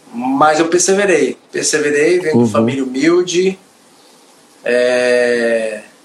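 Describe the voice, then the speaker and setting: A man's fairly high voice at a very slow pace, over noticeable background noise. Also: lively intonation. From Bahia, Brazil. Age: 40s. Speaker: professional footballer. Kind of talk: testimony. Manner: animated.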